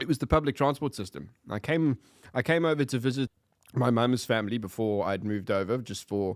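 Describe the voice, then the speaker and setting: Talking fairly quickly with lively intonation, a man with a South African accent speaks at medium pitch, dry and close with no echo, on a very clean recording with a silent background. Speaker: podcast guest. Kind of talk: casual chat.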